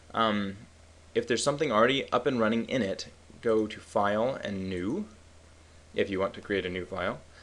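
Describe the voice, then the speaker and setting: A man with a plain, everyday voice, a medium pitch and a fairly quick pace, over a quiet background. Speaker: statistics tutorial instructor. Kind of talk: software tutorial. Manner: casual.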